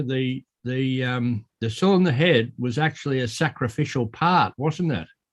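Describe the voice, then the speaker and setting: Speaking with an Australian accent, a man holds a moderate pace at medium pitch with ordinary pitch variation. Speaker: railway preservation volunteer. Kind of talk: casual Q&A discussion. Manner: halting, repetitive.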